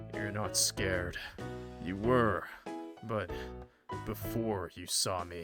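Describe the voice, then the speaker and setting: A put-on character voice rumbles along at a very slow pace with very wide pitch swings and long, frequent pauses. Faint music plays in the background. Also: man, very deep, low pitch for a man. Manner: slow, deliberate, pronouncing every word.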